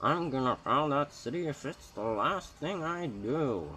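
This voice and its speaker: A man puts on a character voice with a grumpy tone. He goes at a fairly slow pace, his intonation lively. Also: fairly high pitch for a man. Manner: grumpy, stubborn.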